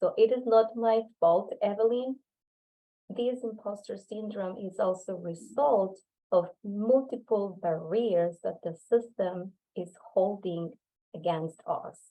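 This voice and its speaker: A woman with a Spanish accent speaks at a very slow pace, her loudness swinging widely. Her medium pitch has ordinary variation. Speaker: workshop presenter, researcher. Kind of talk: lecture. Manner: halting.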